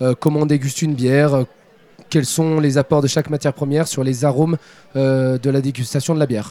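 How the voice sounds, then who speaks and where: A man with a fairly high pitch and a dark, mellow tone speaks quickly, fairly so, in a flat monotone. His loudness stays very even, and the sound is dry and close with no echo. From France, Saint-Étienne. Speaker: beer expert and brewer. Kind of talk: live radio interview. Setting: trade fair stand.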